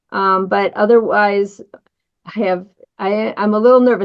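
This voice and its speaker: Speaking in an American accent, this woman's voice is fairly high. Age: 60s. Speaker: colorectal surgeon. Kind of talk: interview conversation.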